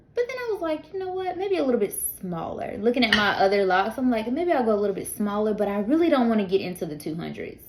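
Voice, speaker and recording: A woman talks at a very fast pace with hardly any pauses and lively intonation. Noticeable background noise sits behind her. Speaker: beauty vlogger. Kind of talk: casual vlog update. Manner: loud; animated.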